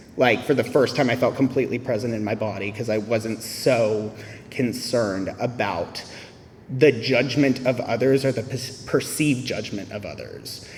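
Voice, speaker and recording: A man's intonation stays fairly even against noticeable background noise. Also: medium pitch for a man, moderate pace. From US South. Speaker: AA speaker. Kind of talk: testimony.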